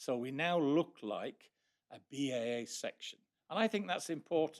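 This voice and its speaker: A man with an ordinary speaking voice talks at a moderate pace and a fairly high pitch, with lively intonation. His loudness swings widely, and the sound is dry and close with no echo. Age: 60s. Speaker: astronomy society section speaker. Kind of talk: presentation to a society meeting. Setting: meeting room with live audience.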